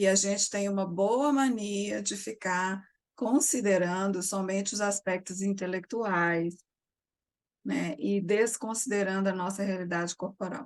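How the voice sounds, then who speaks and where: A woman speaks quietly in a calm tone. Her pace is fairly slow, with ordinary pitch variation. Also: medium pitch for a woman. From Brazil, Minas Gerais. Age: 60s. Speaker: psychotherapist. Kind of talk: interview. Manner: calm, quiet.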